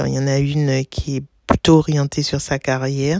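The delivery is monotone and flat at a fairly slow pace, with a dry, close sound and no echo. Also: woman. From Martinique. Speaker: blogger and teacher. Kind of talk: interview. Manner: talkative.

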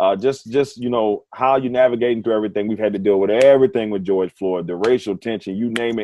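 Here a man speaks in an ordinary speaking voice. His pitch is fairly low, with ordinary pitch variation. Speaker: sports radio host. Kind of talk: casual interview chat.

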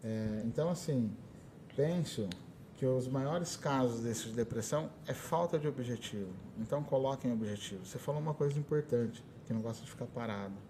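An unremarkable speaking voice: a man at medium pitch and moderate pace, with ordinary pitch variation. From Brazil, São Paulo state (Ribeirão Preto area). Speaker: conductor and music teacher. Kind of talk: interview. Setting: school podcast recording.

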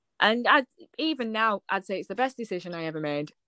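A woman speaks with a northern English accent and a bright, sharp tone at a fairly quick pace. The recording is very clean and dry, with a close sound, a silent background and no echo. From northern England. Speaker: small business owner, designer. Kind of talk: casual interview chat.

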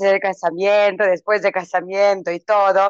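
Moderate pace from a female speaker. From Croatia, Vinkovci. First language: Croatian (speaking Spanish). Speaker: English teacher. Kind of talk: interview. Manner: halting, many fillers.

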